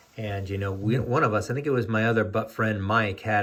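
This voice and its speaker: Somewhat breathy, a man with an American accent speaks at a fairly low pitch and with fairly even intonation. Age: 60s. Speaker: sports card collector, YouTuber. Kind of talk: casual video monologue. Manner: hesitant, many fillers.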